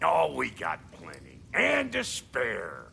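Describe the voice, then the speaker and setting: A man puts on a raspy, gruff character voice at a very slow pace. Clear background noise runs underneath. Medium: video game. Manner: gruff, casual, slangy.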